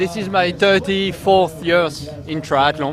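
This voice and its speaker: A voice with a French accent comes through over noticeable background noise. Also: man. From France. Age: 50s. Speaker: triathlete. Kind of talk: post-race interview. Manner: halting.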